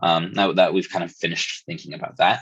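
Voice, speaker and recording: Vocal fry marks this man's voice. He speaks fairly quickly. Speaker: teaching assistant / tutor. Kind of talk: lecture walkthrough. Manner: casual, hesitant with many fillers.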